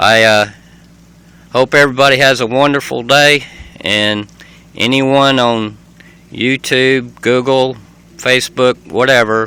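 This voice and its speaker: With a Southern US accent, a man speaks fairly slowly at a medium pitch, leaving long, frequent pauses. His intonation is a flat monotone, and his loudness stays very even. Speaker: vlogger. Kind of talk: casual home video tour. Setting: inside his camper RV. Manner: hesitant, many fillers.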